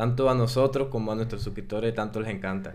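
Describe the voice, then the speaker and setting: A man with a Dominican accent speaks with fairly even intonation amid audible room echo. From Dominican Republic. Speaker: drone pilot and video creator. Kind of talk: casual interview chat.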